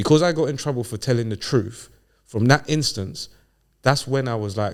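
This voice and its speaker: On a very clean recording with a silent background, a man with a London accent speaks fairly quickly with ordinary pitch variation. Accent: London multicultural English. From London, England (Ghanaian heritage). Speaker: podcast guest. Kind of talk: casual chat. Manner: animated.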